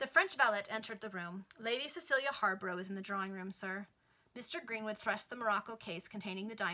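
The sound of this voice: Pitch varies in an ordinary way. The delivery is an unforced reading voice.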